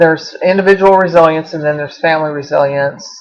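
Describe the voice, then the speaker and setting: A woman with a Southern US accent has a very deep, low voice. Her intonation is monotone and flat. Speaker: college instructor. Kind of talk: online lecture to students. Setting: webcam recording.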